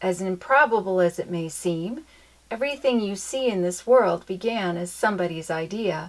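The recording presents an unforced reading voice.

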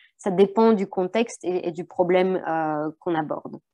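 A woman with a dark, mellow tone speaks fairly slowly with ordinary pitch variation over a quiet background. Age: young. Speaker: researcher. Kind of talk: academic presentation. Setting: video call. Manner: hesitant, many fillers and repetitions. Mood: modest, slightly hesitant. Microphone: webcam.

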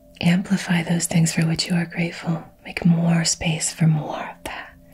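Soft-spoken and gentle in tone, a woman talks at a moderate pace with a fairly low pitch and flat, monotone intonation. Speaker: wellness or spiritual coach. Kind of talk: calm motivational talk. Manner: soft-spoken, gentle and slow. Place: home room.

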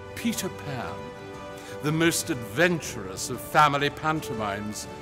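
Music plays in the background as a man with a medium-pitched voice speaks at a fairly slow pace. His pitch swings very widely. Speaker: actor. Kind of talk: theatre trailer promo read.

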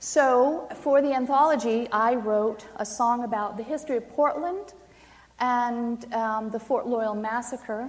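A woman with an American accent speaks at a high pitch and a fairly slow pace. Her pitch variation is ordinary. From Maine, US. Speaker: poet. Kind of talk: poetry reading; poetry reading and talk to audience. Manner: halting. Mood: solemn, impassioned. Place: hall.

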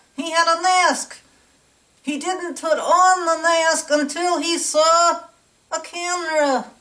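A woman uses a cartoonish character voice at an extremely high pitch. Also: fairly slow pace. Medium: puppet. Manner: ranting, indignant.

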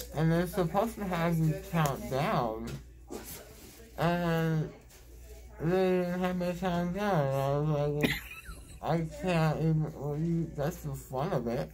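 Over noticeable background noise, a man speaks at a very slow pace with ordinary pitch variation and long, frequent pauses. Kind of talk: casual groggy chat. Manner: groggy, slurred post-anesthesia speech. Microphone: phone near.

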